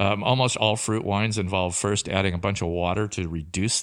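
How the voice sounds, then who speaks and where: A man speaks with a Pacific Northwest accent at a fairly quick pace. His pitch is fairly low. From Tri-Cities, Washington. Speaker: winemaker and vineyard owner. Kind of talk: interview.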